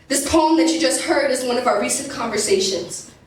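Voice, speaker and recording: A woman speaks at a high pitch with lively intonation over noticeable background noise. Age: young. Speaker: spoken word poet. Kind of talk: spoken word poetry performance.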